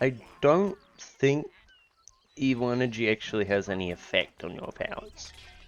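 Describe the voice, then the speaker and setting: Over music in the background, someone mumbles at a moderate pace with very wide pitch swings and long, frequent pauses. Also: man, medium pitch for a man. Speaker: gamer. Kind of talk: casual gameplay commentary. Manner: mumbling.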